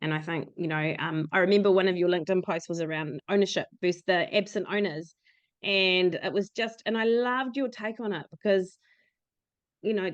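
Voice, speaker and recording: The speaker is a woman with a New Zealand accent. Her pitch is medium. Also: ordinary pitch variation, moderate pace. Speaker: podcast host. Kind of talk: podcast interview.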